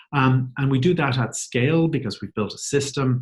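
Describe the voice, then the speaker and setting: Fairly even intonation from a man at a moderate pace, with an Irish accent. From Ireland. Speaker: company CEO. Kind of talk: webinar presentation. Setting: webcast.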